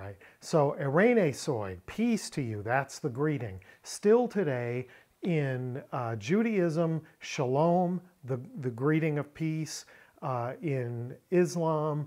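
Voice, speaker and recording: A man at a very slow pace, pitch swinging very widely, in a quiet background. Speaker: Bible language teacher. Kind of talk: lecture. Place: home room.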